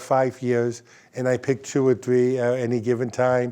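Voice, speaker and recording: The voice has a dark, mellow tone with a New Jersey accent. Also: man. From North Jersey, Bergen County. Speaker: state politician. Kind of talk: interview.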